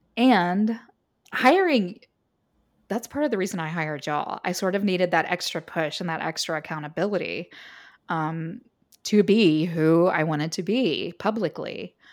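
In a normal speaking voice, a woman with a fairly low pitch and ordinary pitch variation talks at a moderate pace. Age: 40s. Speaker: copywriter and editor. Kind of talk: interview.

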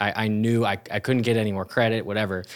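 With a plain, everyday voice, a man speaks at a fairly low pitch with fairly even intonation, recorded very cleanly against a silent background. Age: 20s. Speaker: pastor. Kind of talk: interview. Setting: church.

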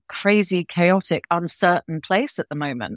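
With a British accent, a woman speaks at a fairly low pitch and moderate pace with ordinary pitch variation. The recording is very clean, dry and close, with no echo and a silent background. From UK. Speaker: business executive and professor. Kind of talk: interview.

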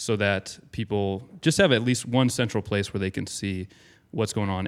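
In an American accent, a man with a normal speaking voice talks at a fairly quick pace, fairly low in pitch with fairly even intonation, on a very clean recording with a silent background. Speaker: podcast host, local music blogger. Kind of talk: casual chat and interview. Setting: recorded inside a clothing store.

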